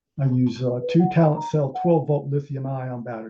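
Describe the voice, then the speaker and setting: Dark and mellow in tone, a man's voice comes across somewhat breathy. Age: 60s. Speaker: amateur telescope maker. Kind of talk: technical presentation. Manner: halting.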